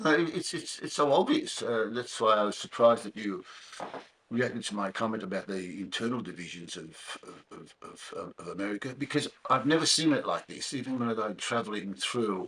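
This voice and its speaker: The speaker talks with an Australian accent at a fairly quick pace and with lively intonation. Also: man, medium pitch for a man. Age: 70s. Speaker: podcast host. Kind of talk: casual interview. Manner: halting, repeats words.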